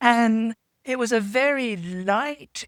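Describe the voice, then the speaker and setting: A woman talks with a British accent. The very clean recording has a silent background and a dry, close sound with no echo. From England. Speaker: podcast panelist. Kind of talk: casual chat.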